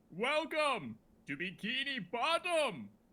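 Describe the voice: A man slips into a put-on character voice, pitched extremely high and moving at a fairly slow pace.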